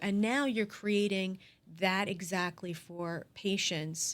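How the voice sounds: At a slow pace, a woman talks at medium pitch with fairly even intonation.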